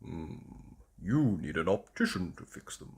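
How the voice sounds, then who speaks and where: A man's put-on character voice with a very deep, low pitch. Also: fairly slow pace. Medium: read story.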